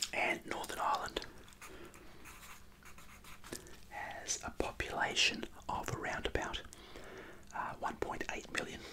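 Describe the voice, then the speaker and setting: Quiet whispering at a fairly slow pace over noticeable background noise. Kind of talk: casual explanatory talk. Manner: quiet ASMR whisper while chewing gum.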